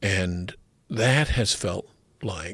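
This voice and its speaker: In a very clean recording with a silent background, a man with an Australian accent speaks in a very deep, low voice that is somewhat breathy, with ordinary pitch variation. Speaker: writer and poet. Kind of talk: podcast interview. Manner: hesitant, many filler words.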